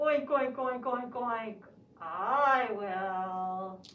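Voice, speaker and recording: A cartoonish character voice, female-sounding and fairly high-pitched for a woman. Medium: puppet show. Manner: says oink before each line.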